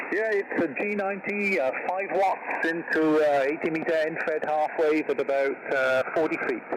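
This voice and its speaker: A man talks at a moderate pace with hardly any pauses and very even loudness. His fairly high voice shows ordinary pitch variation over noticeable background noise. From Wales. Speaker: amateur radio operator. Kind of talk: radio net check-in. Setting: ham radio transmission.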